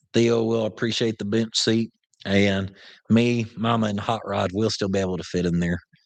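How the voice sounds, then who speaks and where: With an Oklahoma accent, a man speaks at a fairly low pitch and with fairly even intonation. The background is quiet. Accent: Southern US, Oklahoma. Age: 30s. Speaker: upholstery shop owner, YouTuber. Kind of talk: casual live-stream chat reading viewer questions. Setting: live stream from shop.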